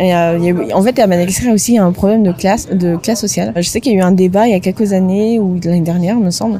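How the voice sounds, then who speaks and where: Very fast delivery with hardly any pauses, ordinary pitch variation, very even loudness, and noticeable background noise. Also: woman, medium pitch for a woman. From Madagascar. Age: 30s. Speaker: podcast co-founder. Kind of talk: interview conversation.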